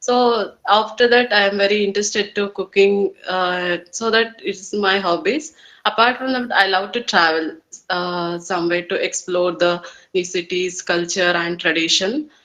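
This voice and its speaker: A woman speaks at a moderate pace with a Kannada accent. Her tone is bright and sharp, with ordinary pitch variation. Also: medium pitch for a woman. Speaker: English learner. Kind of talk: English speaking practice conversation. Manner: halting, many fillers.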